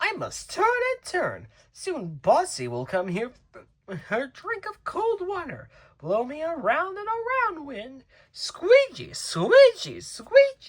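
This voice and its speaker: An extremely high, put-on character voice delivered at a fairly slow pace. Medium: read story. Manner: rhythmic, sing-song.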